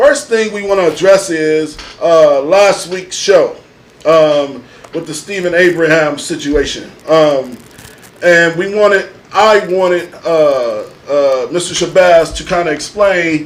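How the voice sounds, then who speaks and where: A high-pitched man at a very slow pace, with ordinary pitch variation and noticeable background noise. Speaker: podcast host. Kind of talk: casual panel discussion.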